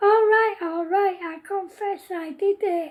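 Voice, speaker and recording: Using a put-on character voice, a woman speaks at an extremely high pitch. The sound is squeaky. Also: fairly slow pace. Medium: read story. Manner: suppressing laughter.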